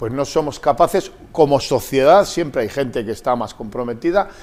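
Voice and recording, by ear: Lively intonation comes with a moderate pace and a slightly mellow tone. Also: man, medium pitch for a man.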